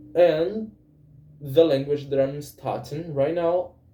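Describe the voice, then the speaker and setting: With ordinary pitch variation, a man's somewhat breathy voice comes through. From Brazil. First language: Portuguese. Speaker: language learner vlogger. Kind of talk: casual monologue speaking practice. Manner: halting, with self-corrections and fillers.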